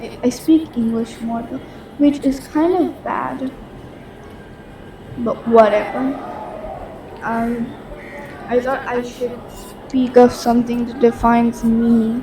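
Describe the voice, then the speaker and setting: A woman with a Bengali accent and a high pitch, at a very slow pace with long, frequent pauses and fairly even intonation, amid audible room echo and noticeable background noise. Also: big swings in loudness. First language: Bangla. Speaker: podcast host. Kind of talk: casual monologue. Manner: halting.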